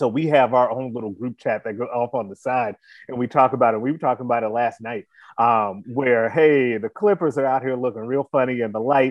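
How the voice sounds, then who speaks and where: An ordinary speaking voice moves at a fairly quick pace. Its pitch varies in an ordinary way. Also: man, medium pitch for a man. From Chicago. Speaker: sports podcast host. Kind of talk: casual sports talk chat.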